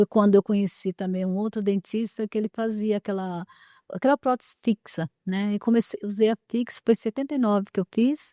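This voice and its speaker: A woman's dark, mellow voice at medium pitch and a fairly quick pace, fairly even in intonation, dry and close with no echo, in a very clean recording with a silent background. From interior of São Paulo state, Brazil. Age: 60s. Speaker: artisan, dental patient. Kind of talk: interview conversation. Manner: halting, many fillers and repetitions.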